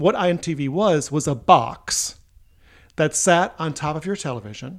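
A man's fairly high-pitched voice with vocal fry. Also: very clean recording, silent background. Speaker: host's father, retired English teacher and writer. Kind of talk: casual family chat.

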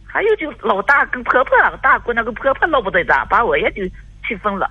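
A woman talks fairly quickly, with noticeable background noise behind her. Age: 50s. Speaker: caller. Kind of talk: call-in advice conversation. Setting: phone call. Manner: hesitant, halting.

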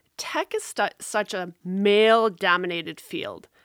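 This is a very clean recording with a silent background. The speaker is a woman. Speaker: podcast co-host. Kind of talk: casual chat.

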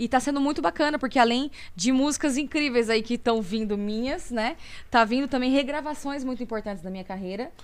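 The woman's pitch is high. She speaks at a fairly quick pace. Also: ordinary pitch variation. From Brazil, Campinas (São Paulo state). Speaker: singer. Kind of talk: interview.

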